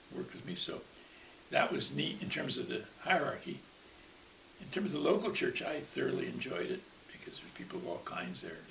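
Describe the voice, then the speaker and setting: A man talks at a fairly quick pace but leaves long, frequent pauses, his loudness swinging widely. Background noise is noticeable. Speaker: retired minister. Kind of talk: interview answer.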